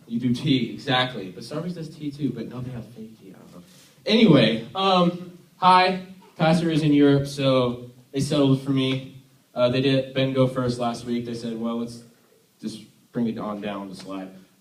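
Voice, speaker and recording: A man with an American accent, medium in pitch, with ordinary pitch variation, a moderate pace, big swings in loudness and audible room echo. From US, Army family; born Tennessee. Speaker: youth worship leader. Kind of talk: sermon. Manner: casual, halting with fillers.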